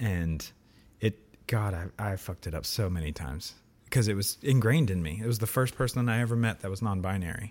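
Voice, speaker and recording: Very clean with a silent background, the recording has a man with a plain, everyday voice and an American accent speaking fairly quickly at a fairly low pitch with ordinary pitch variation. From US. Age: 30s. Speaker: old friend of the host. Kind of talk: casual chat. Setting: in person recording.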